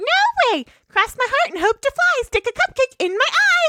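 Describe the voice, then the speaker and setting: In a put-on character voice, a female-sounding speaker squeaks at an extremely high pitch. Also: moderate pace. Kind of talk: comic overacting. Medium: game stream. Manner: fast, excitable.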